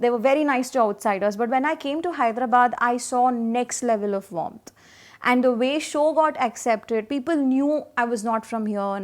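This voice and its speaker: The recording is very clean with a silent background. A woman speaks at a high pitch with ordinary pitch variation. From India, Karnataka. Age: young. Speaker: radio jockey. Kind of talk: interview answer.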